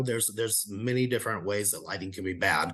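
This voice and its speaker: At a fairly quick pace, a man speaks with audible room echo. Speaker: presenter on video marketing. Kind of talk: lecture. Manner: shaky voice.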